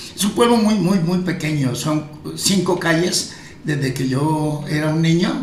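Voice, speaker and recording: Amid noticeable background noise and audible room echo, a man with a high pitch speaks at a fairly slow pace with ordinary pitch variation. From Colombia, Cundinamarca. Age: 70s. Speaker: pastor. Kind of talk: casual interview chat.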